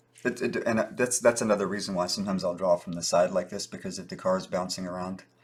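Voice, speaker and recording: A man talks at a very fast pace with hardly any pauses, his pitch fairly low. His intonation is fairly even, but his loudness swings widely. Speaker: artist. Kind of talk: casual chat while drawing. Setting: live video stream.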